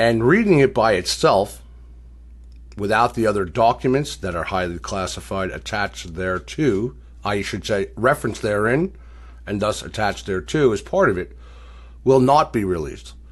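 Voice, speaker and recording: Vocal fry marks this man's fairly low voice as his pitch swings very widely. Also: moderate pace, quiet background. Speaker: online news show host. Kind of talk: news monologue. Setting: online members forum broadcast.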